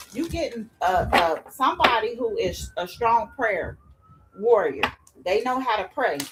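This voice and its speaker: The speaker moves at a fairly slow pace. Noticeable background noise sits under the voice. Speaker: tarot reader. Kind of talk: tarot reading. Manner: loud.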